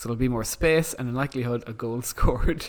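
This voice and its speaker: With an Irish accent, a man speaks at a moderate pace. His medium-pitched voice keeps a fairly even intonation. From Ireland. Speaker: podcast host. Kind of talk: casual chat.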